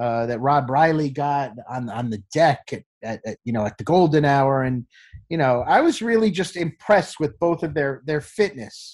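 A man talks at a moderate pace in an ordinary speaking voice, fairly high in pitch with lively intonation. The recording is very clean, with a silent background. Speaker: sports TV producer. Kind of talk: interview.

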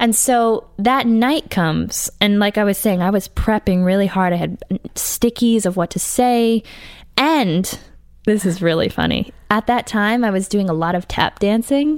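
A woman with a plain, everyday voice and an American accent speaks at a fairly slow pace and medium pitch, with ordinary pitch variation. Her loudness stays very even, and the recording is very clean with a silent background. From Massachusetts (Brookline, near Boston). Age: 20s. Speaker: jazz saxophonist and singer. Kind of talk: casual interview chat.

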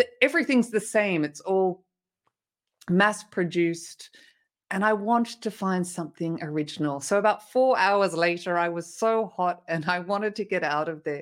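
In a very clean recording with a silent background, a woman with an Australian accent speaks at a moderate pace, her medium pitch showing ordinary pitch variation. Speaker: motivational speaker. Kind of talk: interview.

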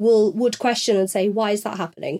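In a northern English accent, a woman speaks with a fairly high pitch. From northern England. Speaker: podcast host. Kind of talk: casual chat.

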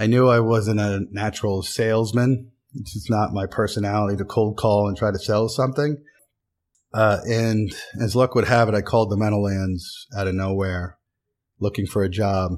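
In an American accent, this normal speaking voice moves at a moderate pace with fairly even intonation. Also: man, fairly low pitch for a man. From Pennsylvania, US. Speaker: sports executive. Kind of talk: interview.

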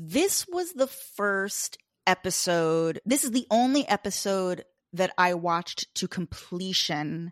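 An unremarkable speaking voice talks with an American accent and ordinary pitch variation. The sound is dry and close with no echo. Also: woman. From US Northeast (Long Island, New York). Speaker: podcast host, guest. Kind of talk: casual chat.

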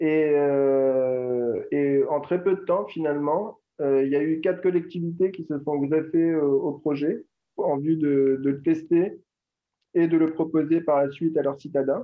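Speaking slowly-ish at a fairly high pitch, a man keeps his intonation fairly even. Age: 40s. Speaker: entrepreneur. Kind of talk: interview. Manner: halting.

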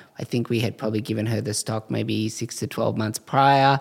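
A man speaks with an Australian accent. His intonation is fairly even and his pace moderate. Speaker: eyewear brand co-founder. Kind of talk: interview conversation.

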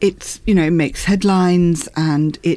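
An ordinary speaking voice, a woman's, medium in pitch and moderate in pace. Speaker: arts editor. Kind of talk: studio discussion.

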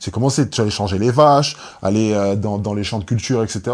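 Recorded very cleanly over a silent background, a man with a normal speaking voice talks at a moderate pace with ordinary pitch variation. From Guadeloupe. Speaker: basketball player. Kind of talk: casual chat.

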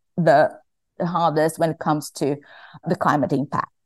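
A woman with a Portuguese accent against a quiet background. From Brazil. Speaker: climate lawyer. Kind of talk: academic panel discussion.

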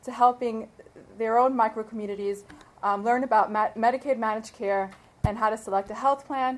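Using an ordinary speaking voice, a woman with an American accent and a fairly high pitch speaks at a fairly quick pace with fairly even intonation. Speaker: lawyer, bar association president-elect. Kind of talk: tribute speech. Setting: stage with audience.

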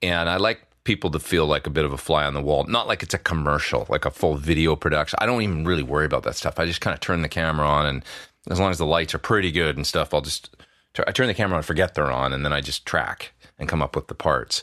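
A man's very deep, low voice with a western Canadian accent, vocal fry, a bright, sharp tone, ordinary pitch variation and a very fast pace. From Alberta, Canada. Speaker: session guitarist and YouTuber. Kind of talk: casual interview chat. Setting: remote call from home studio.

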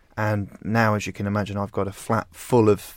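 With an English accent, a man speaks at a fairly slow pace in a fairly low pitch, on a very clean recording with a silent background. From rural England. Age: 20s. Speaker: magazine founder and editor. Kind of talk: interview conversation.

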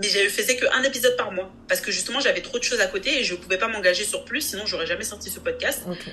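Against noticeable background noise, a woman talks very fast at a fairly high pitch with ordinary pitch variation. Her tone is animated, with big swings in loudness. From France. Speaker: compensation consultant and investment advisor. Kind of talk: interview.

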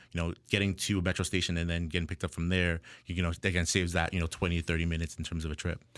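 Delivered at a very fast pace with a Toronto accent, the speech has monotone, flat intonation on a very clean recording with a silent background. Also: man. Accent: Canadian (Toronto area). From Ontario, Canada (Ajax, east of Toronto). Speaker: tech startup founder. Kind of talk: interview.

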